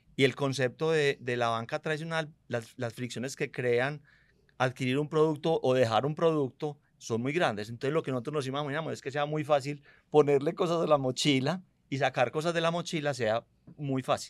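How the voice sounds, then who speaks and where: A man with an unremarkable speaking voice talks at a moderate pace with fairly even intonation and a fairly high pitch. The recording is very clean, with a silent background. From Medellín, Colombia. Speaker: fintech company CEO. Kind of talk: interview conversation.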